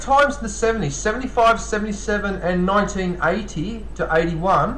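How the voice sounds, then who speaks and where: Over noticeable background noise and audible room echo, a man talks very fast in a raised, projected voice with lively intonation. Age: 50s. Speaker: live streamer promoting other channels. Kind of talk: casual live stream chat with viewers. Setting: live stream. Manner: halting, frequent false starts.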